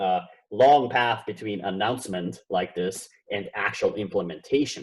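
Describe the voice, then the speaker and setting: Moderately paced, a man speaks at a fairly low pitch with vocal fry. His intonation is lively. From Austria. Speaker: professor. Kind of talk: conference keynote lecture.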